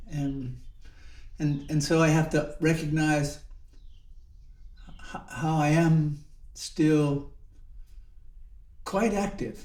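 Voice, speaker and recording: A man's fairly high voice at a very slow pace, with long, frequent pauses and audible room echo. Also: ordinary pitch variation. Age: 70s. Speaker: Zen monk and teacher. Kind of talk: reflective dharma talk. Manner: halting, with many repetitions and fillers.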